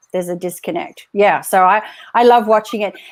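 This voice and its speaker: Lively intonation marks this woman's speech, delivered with an American accent. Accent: Australian, fading toward American. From Australia. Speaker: live show host. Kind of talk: live interview chat. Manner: animated.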